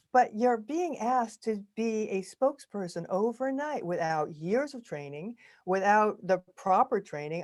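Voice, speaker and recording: A normal speaking voice moves at a fairly slow pace with lively intonation. The recording is very clean, with a silent background. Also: woman. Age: 60s. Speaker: actress and video coach. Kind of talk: podcast interview.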